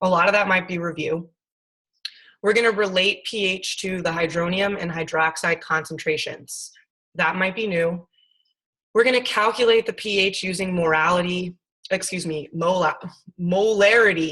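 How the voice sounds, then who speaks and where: Loud and bright, with a sharp tone, a woman speaks at a medium pitch and moderate pace with fairly even intonation and long, frequent pauses. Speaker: science teacher. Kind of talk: lecture.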